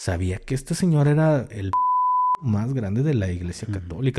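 In a Mexican accent, a man speaks at a medium pitch. His voice is dark, mellow and somewhat breathy. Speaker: podcast co-host, ex-military content creator. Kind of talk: casual chat.

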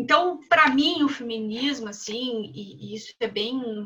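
Her voice raised and projected, a woman speaks with lively intonation. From southern Brazil. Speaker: philosophy professor. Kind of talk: panel discussion.

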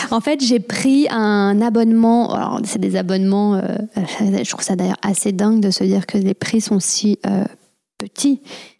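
With an unremarkable speaking voice, a woman speaks at a medium pitch and a fairly slow pace. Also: ordinary pitch variation. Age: 30s. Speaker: podcast host and hypnotherapist. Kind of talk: casual interview chat.

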